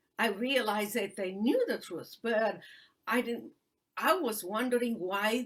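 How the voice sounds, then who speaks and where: With a Romanian accent, a woman speaks at a fairly high pitch with lively intonation. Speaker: human rights attorney and author. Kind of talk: interview testimony. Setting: live video stream. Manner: halting with many fillers.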